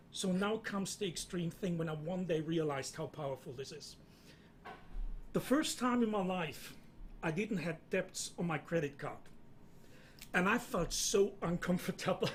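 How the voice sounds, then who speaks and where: With a German accent, a man speaks at a moderate pace in a high voice. His pitch variation is ordinary, and he leaves long, frequent pauses. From Germany. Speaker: entrepreneur. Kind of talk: panel discussion.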